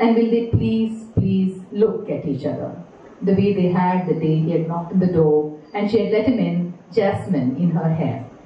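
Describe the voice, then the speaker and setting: A woman with a fairly low pitch and lively intonation at a moderate pace, music in the background and audible room echo. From India, Chennai. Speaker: poet and professor. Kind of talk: poetry reading. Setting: live venue reading to an audience. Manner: measured, expressive, lyrical delivery. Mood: quiet, reflective, sorrowful. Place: hall.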